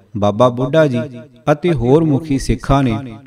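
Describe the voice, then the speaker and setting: Medium in pitch with ordinary variation, a man speaks in a dark, mellow tone. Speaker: audiobook narrator. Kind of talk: audiobook reading of religious history.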